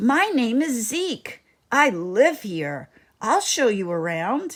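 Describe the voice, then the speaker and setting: Using a put-on character voice, a woman talks very slowly at a fairly high pitch with very wide pitch swings. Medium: read story.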